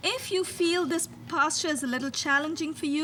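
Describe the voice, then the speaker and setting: A calm tone at a moderate pace, with a non-native accent. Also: woman. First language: not English. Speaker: yoga instructor. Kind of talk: guided yoga instruction. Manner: calm, instructive.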